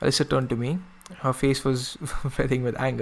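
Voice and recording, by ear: Someone reads aloud in a natural voice with fairly even intonation.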